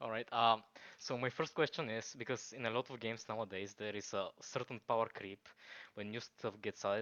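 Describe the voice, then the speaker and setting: This speaker has a Bulgarian accent. The pace is fairly quick. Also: man. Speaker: gamer, caller. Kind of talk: Q&A question. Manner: halting.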